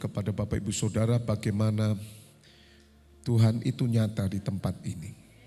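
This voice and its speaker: A man's somewhat breathy voice, dark and mellow in tone, medium in pitch, at a moderate pace, on a very clean recording with a silent background. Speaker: pastor. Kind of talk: sermon.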